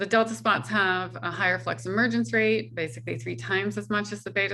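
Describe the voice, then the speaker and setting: A woman's bright, sharp voice with vocal fry and very wide pitch swings. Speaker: solar physics researcher. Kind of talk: scientific seminar talk.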